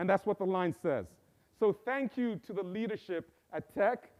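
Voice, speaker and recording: With a Zambian accent, a man talks at a moderate pace with ordinary pitch variation, the sound dry and close with no echo over a quiet background. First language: Bemba. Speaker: professor. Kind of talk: inaugural speech. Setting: stage with live audience and Zoom.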